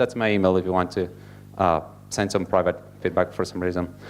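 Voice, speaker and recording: On a very clean recording with a silent background, a man with an Italian accent speaks at a fairly low pitch. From Italy. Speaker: software engineer. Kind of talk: conference talk. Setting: stage with audience. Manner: fast.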